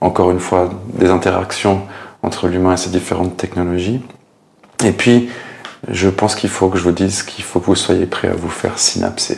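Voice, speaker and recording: Over noticeable background noise, a man with a very deep, low voice speaks at a moderate pace in a flat monotone, with long, frequent pauses. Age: 40s. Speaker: tech YouTuber. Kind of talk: channel introduction to camera. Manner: casual with frequent hesitations.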